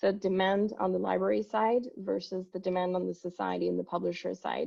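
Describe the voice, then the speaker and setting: A woman at a moderate pace with a French accent. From France. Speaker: company executive. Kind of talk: conference presentation.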